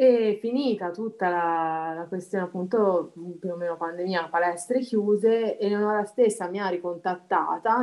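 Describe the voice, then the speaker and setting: Using a normal speaking voice, the woman keeps a moderate pace and a medium pitch, her pitch varying in an ordinary way. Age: 30s. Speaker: amateur dancer. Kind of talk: interview.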